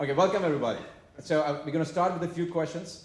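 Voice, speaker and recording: A man speaks with an Indian accent. Audible room echo surrounds his voice. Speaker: panel moderator. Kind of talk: moderating panel discussion. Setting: live event with audience.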